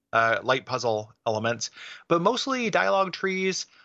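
With an American accent and a plain, everyday voice, a man talks fairly slowly with lively intonation. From US Midwest. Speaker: video game podcast co-host. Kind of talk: casual chat.

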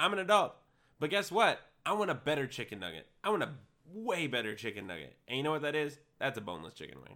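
This man talks at a very fast pace in a fairly high pitch, his bright, sharp tone showing vocal fry, very wide pitch swings and big swings in loudness. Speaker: podcast co-host. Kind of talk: casual banter. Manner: theatrical radio-style voice when introducing.

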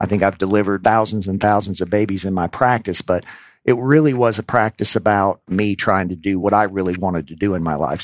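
In a very clean, dry recording with no echo and a silent background, a man with an ordinary speaking voice and fairly low pitch talks fairly quickly, with ordinary pitch variation. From US South, New Orleans, Louisiana. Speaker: physician and healthcare executive. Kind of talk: interview.

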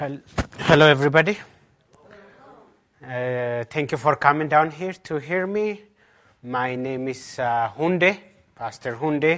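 Speaking with a strong Ethiopian accent, a man uses a fairly high pitch and ordinary pitch variation at a very slow pace with long, frequent pauses. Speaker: pastor preaching a sermon. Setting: church service.

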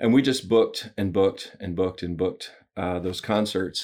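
A man speaks with a Southern US accent. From US South (Alabama). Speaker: business coach and author. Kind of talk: interview.

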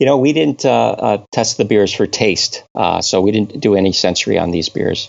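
With an American accent and vocal fry, a man talks at a fairly low pitch and a moderate pace, with hardly any pauses. His intonation is lively while his loudness stays very even. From US Northeast, Connecticut. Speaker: brewing scientist. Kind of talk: interview. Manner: hesitant, many fillers.

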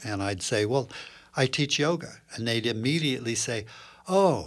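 A man talks with an American accent and very wide pitch swings. The recording is very clean with a silent background. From US Northeast, Princeton, New Jersey. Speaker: clinical psychologist and yoga teacher. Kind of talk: podcast interview.

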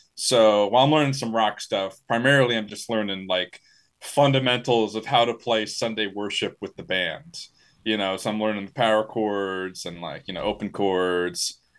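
With an American accent, a man uses an ordinary speaking voice at a fairly low pitch, with ordinary pitch variation, a moderate pace and a quiet background. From Maryland, near Washington DC. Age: young. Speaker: metal musician. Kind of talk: interview.

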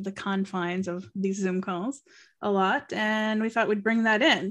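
A normal speaking voice with an American accent, at a moderate pace and with ordinary pitch variation, over a quiet background. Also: woman. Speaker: podcast host. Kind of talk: casual chat. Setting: video call.

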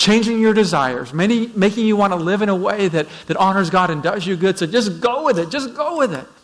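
A high-pitched male voice with a Canadian accent. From Vancouver, Canada. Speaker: pastor. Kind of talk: sermon. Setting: church.

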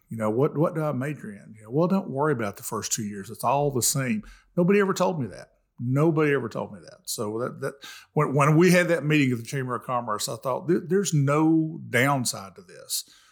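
On a very clean recording with a silent background, a man talks with an East Tennessee accent. His pitch is fairly high, his intonation lively and his pace fairly quick. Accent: East Tennessee Southern. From East Tennessee, Jefferson County. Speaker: middle school principal and volunteer mentor. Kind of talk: casual chat.

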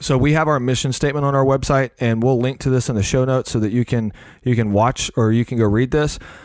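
Against a quiet background, a man talks at a very fast pace with very even loudness. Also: medium pitch for a man. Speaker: podcast host. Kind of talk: casual conversational podcast. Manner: animated, chatty.

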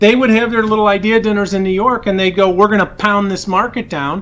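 In an American accent, a man speaks at a fairly quick pace. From US Midwest, Chicago western suburbs. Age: 50s. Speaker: financial expert, former trader and angel investor. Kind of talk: interview.

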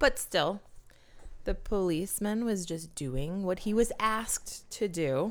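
A woman at medium pitch, fairly slow pace and lively intonation, on a very clean recording with a silent background. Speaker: podcast co-host. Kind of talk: casual banter, comedic chat. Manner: soft-spoken, joking.

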